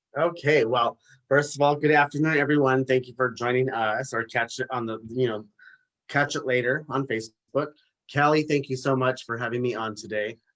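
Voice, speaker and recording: A man speaks in a plain, everyday voice at medium pitch, with fairly even intonation and a moderate pace. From Los Angeles, US. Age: 40s. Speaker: businessman and author. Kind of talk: live interview.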